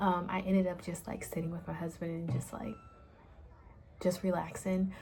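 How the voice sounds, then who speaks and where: Over noticeable background noise and audible room echo, a woman with a fairly low pitch speaks at a fairly quick pace in a flat monotone. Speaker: small business owner and vlogger. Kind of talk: casual vlog.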